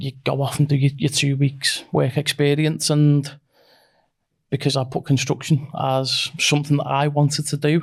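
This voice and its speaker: Somewhat breathy and fairly high-pitched, a man speaks with a slight Scouse accent. His moderate pace comes with monotone, flat intonation. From northern England, near Liverpool. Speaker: construction company managing director. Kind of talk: casual interview. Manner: halting, repeats words.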